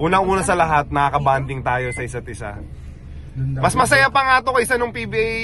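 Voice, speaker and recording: Against noticeable background noise, a man speaks at a fairly quick pace in an animated tone. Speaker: former pro basketball player, vlogger. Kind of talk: casual chat.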